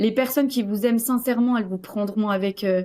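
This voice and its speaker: The voice belongs to a woman and sits fairly high. Her recording is very clean against a silent background. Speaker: coaching client sharing her story. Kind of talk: interview testimony. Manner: loud; hesitant, many fillers.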